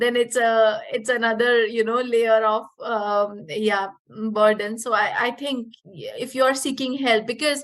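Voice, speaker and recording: A woman with an Indian accent talks fairly slowly with hardly any pauses. Her pitch is fairly high and her intonation fairly even. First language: Punjabi. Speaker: yoga teacher. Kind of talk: casual interview. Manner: halting.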